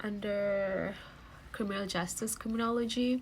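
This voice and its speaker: Very slow speech from a woman, pitched in the medium range. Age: 20s. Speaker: beauty vlogger. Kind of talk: makeup tutorial. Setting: at home. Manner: casual, hesitant.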